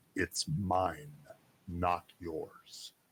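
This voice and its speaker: Growling and hissing, a man does a put-on character voice with a very deep, low pitch. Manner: screaming, hostile.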